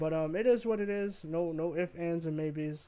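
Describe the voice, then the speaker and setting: A man is speaking. His pitch is high. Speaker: gaming and sports opinion youtuber. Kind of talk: opinion rant monologue. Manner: passionate, may get loud; casual, profane.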